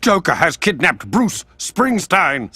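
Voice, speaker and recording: This cartoonish character voice has a middle pitch and moves at a fairly slow pace. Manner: dry, deadpan build to a punchline.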